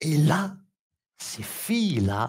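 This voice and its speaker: A man with an Algerian accent, somewhat breathy, at a very slow pace with very wide pitch swings. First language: Kabyle (speaking French). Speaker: puppetry artist. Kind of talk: artist presentation at public talk. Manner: halting.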